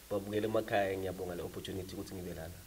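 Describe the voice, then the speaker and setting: Someone talks very fast in an Eswatini accent, with monotone, flat intonation. The voice is somewhat breathy. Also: man. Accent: a bit of Siswati. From South Africa, Mpumalanga (Nelspruit). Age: 20s. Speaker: rapper. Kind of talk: interview. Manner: code-switching between English and Zulu.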